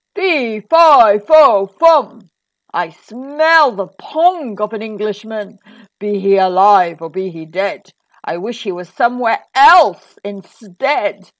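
A woman's bellowing, put-on character voice, fairly high in pitch, at a very slow pace. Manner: roaring.

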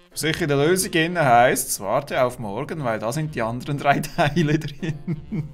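A man with a Swiss accent and fairly high pitch talks at a moderate pace, with hardly any pauses and ordinary pitch variation. Faint music plays in the background. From Switzerland. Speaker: let's player. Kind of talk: casual gameplay commentary. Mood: amused, joking. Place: home room.

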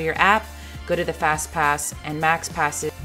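Over music in the background, a woman speaks at a moderate pace in an upbeat, excited tone. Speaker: family lifestyle vlogger. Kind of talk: voice-over tips video.

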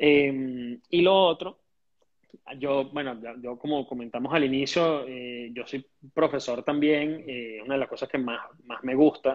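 The speaker has a Caracas accent and a fairly slow pace. Intonation stays fairly even while loudness swings widely over a quiet background. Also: man. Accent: Venezuelan Spanish (Caracas). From Venezuela. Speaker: entrepreneur and teacher; teacher. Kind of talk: interview. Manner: halting, many fillers and repetitions. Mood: calm, hopeful. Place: home room. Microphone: earbuds.

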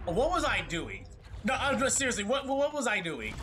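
A man with a high-pitched voice speaks at a moderate pace in an animated tone. Light background noise sits behind him. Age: 18, just out of school. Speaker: gamer streamer. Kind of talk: gameplay commentary. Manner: animated, excitable reactions. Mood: frustrated, joking. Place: home room.

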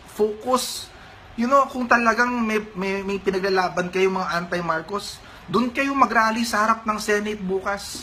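Over noticeable background noise, a man with a high-pitched, raised and projected voice speaks fairly slowly with ordinary pitch variation. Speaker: political commentator. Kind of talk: angry rant, heated political commentary. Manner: indignant, emphatic, scolding.

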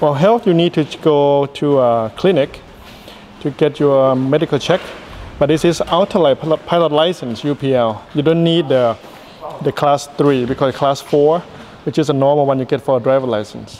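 A man at a moderate pace, with ordinary pitch variation, very even loudness and light background noise. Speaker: flight instructor. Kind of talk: interview answer. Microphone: handheld.

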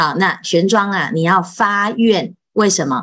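Against a quiet background, a woman speaks at a very slow pace. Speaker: Buddhist monastic teacher. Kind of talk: Buddhist scripture lecture. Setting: online live session. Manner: many filler particles. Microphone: video call.

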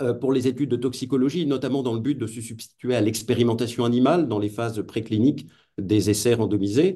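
At a fairly quick pace, a man speaks in a medium pitch with a dark, mellow tone. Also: quiet background. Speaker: philosopher of technology, lecturer. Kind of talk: lecture. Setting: video call. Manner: hesitant, many fillers. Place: home room. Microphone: webcam.

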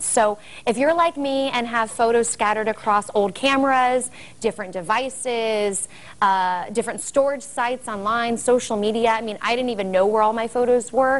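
Upbeat and enthusiastic, the voice moves at a moderate pace with ordinary pitch variation. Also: woman, fairly high pitch for a woman. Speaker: lifestyle and parenting expert, guest on a show. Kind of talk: promotional broadcast interview, upbeat product talk. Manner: upbeat, enthusiastic, conversational. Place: home room.

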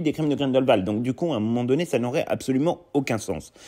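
A man talks very fast against a quiet background. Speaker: YouTube film commentator. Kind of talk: video commentary.

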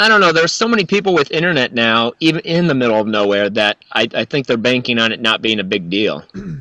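A man's medium-pitched voice with a bright, sharp tone, very wide pitch swings, a very fast pace and hardly any pauses, dry with no echo over a quiet background. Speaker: musician. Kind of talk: casual chat. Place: home room. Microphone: studio mic.

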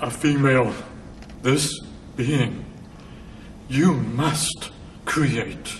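A put-on character voice at a very slow pace, with long, frequent pauses over clear background noise. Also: man, medium pitch for a man. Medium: voice reel. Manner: demanding, broken syntax.

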